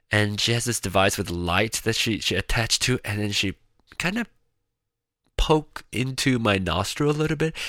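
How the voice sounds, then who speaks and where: A man with lively intonation and a bright, sharp tone, on a very clean recording with a silent background. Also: moderate pace. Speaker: podcast host. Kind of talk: casual solo monologue. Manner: rambling, filler-heavy.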